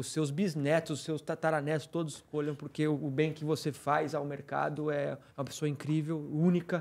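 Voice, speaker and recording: The speech moves at a moderate pace with hardly any pauses. The intonation is flat and monotone. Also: man, fairly high pitch for a man. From Brazil. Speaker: podcast co-host, trader; podcast co-host. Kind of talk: casual chat. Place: studio. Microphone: studio mic.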